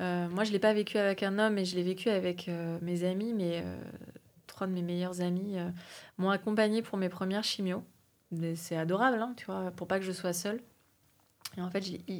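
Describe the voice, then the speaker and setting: Monotone and flat, the speech moves at a moderate pace with long, frequent pauses, in a very clean recording with a silent background. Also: woman, medium pitch for a woman. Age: 40s. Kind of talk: casual conversation.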